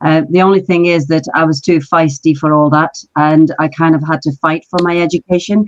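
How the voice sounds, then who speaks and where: A woman with a London accent and a very deep, low pitch speaks in a flat monotone at a moderate pace, with hardly any pauses, very even loudness and a dry, close sound with no echo. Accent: British English, London. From Pakistan, raised in London from age six. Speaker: marketing director, business founder. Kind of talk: podcast interview, life story.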